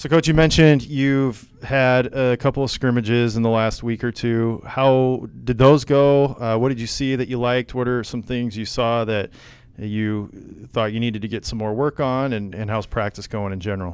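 In a normal speaking voice, a man with an American accent talks at a moderate pace with hardly any pauses, medium pitch and fairly even intonation, on a very clean recording with a silent background. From US Midwest, northwest Iowa. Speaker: podcast host. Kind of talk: casual chat. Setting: office.

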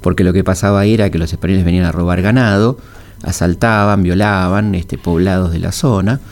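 A man's very deep, low voice, fairly even in intonation, at a fairly quick pace. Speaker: historian and radio host. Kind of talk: radio history talk. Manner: halting, many fillers.

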